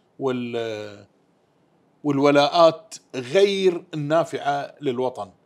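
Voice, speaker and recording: Over a quiet background, a man talks at a very slow pace with a fairly high pitch and ordinary pitch variation. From Bahrain, Hidd; Bahrain. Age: 70s. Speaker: former Shura council member and preacher; council interviewee. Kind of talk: interview. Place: home room. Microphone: lapel.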